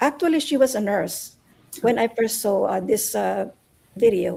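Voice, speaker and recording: A woman's dark, mellow voice with vocal fry, lively intonation and a fairly slow pace. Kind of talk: interview answer.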